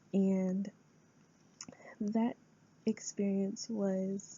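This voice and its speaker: A woman's medium-pitched, somewhat breathy voice with an American accent. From US Midwest, Rapid City, South Dakota. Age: 20s. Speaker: student. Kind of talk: class speech. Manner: hesitant, with frequent fillers.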